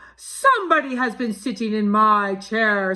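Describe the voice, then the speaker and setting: A put-on character voice from a woman, fairly high in pitch, at a moderate pace. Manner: grumbling, indignant.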